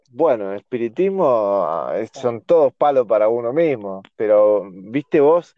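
A man is speaking. His pace is very slow. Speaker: podcast co-host. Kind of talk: casual chat.

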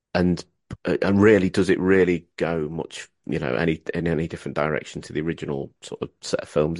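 A man speaks at a fairly quick pace with a very deep, low pitch and vocal fry. His pitch varies in an ordinary way, and the sound is dry and close with no echo. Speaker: podcast host. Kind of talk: casual interview chat. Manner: calm, cool-headed.

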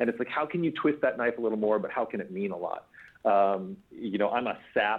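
With an unremarkable speaking voice at a medium pitch, a man talks at a fairly quick pace with ordinary pitch variation. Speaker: screenwriter. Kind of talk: interview.

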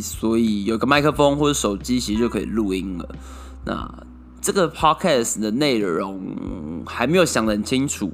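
Here a man talks at a moderate pace. His medium-pitched voice makes very wide pitch swings. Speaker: solo podcast host. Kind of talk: casual monologue. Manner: many filler words.

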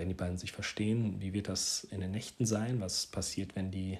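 A man speaks at a moderate pace in a fairly low, somewhat breathy voice with fairly even intonation. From Hesse, Germany (Marburg). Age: 30s. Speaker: parenting podcaster. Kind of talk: casual monologue. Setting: home living room. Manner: hesitant, with filler words.

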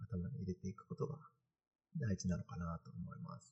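Male speaker, moderate speed, dry and close sound without echo. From Kanagawa, Japan. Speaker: postdoctoral researcher and live-stream host. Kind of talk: casual live-stream talk. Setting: live stream in virtual space.

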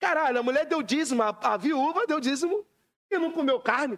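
Recorded dry and close with no echo, a man talks at a moderate pace with lively intonation. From Rio de Janeiro, Brazil. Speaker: AI engineer and musician. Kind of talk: casual chat.

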